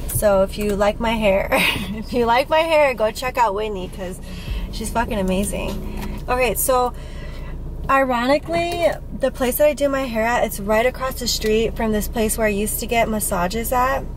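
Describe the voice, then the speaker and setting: Music plays in the background while a woman talks at a moderate pace. Her pitch varies in an ordinary way, and the sound is dry with no echo. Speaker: vlogger. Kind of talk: casual vlog chat. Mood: relaxed, chatty, laughing. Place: car. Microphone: phone near.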